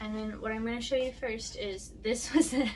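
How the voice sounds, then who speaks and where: A soft-spoken woman, with noticeable background noise and audible room echo. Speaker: vlogger. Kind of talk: casual chat. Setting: home studio. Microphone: sounds very quiet on camera mic.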